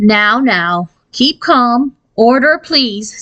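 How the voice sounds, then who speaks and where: A female-sounding voice puts on a character voice at a high pitch. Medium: read story. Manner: brisk, officious.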